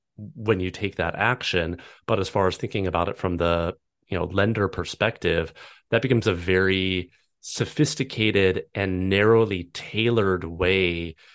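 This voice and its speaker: A man's very deep, low voice at a fairly slow pace, with fairly even intonation over a quiet background. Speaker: podcast host. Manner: calm, relaxing.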